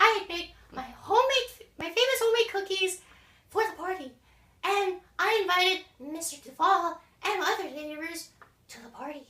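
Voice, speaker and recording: A woman puts on a squeaky character voice at an extremely high pitch, with lively intonation and a slight echo. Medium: stage play. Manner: prim, overly polite.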